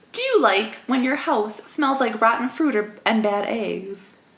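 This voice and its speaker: Over noticeable background noise, a woman speaks at a very slow pace. Her voice is fairly high, with lively intonation. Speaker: podcast co-host, comedy newscaster. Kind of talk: comedy news podcast banter.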